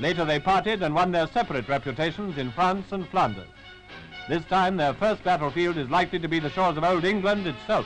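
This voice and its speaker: Over music in the background, a man talks at a fairly quick pace and a high pitch, with ordinary pitch variation. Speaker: newsreel narrator. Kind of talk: wartime newsreel commentary.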